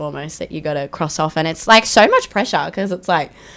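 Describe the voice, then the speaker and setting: A woman speaks at a fairly quick pace with an Australian accent. Her pitch is very deep and low. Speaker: country singer. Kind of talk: casual chat. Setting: radio studio. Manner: energetic.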